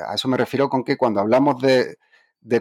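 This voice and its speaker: A man with a normal speaking voice talks at medium pitch with fairly even intonation. The very clean recording has a silent background and a dry, close sound with no echo. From Andalusia, Spain. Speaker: psychology professor. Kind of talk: interview.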